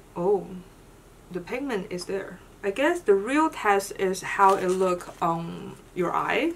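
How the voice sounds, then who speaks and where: Noticeable background noise sits behind a woman speaking at a very slow pace. Her medium-pitched voice has lively intonation. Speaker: beauty vlogger. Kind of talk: casual video haul. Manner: casual, chatty.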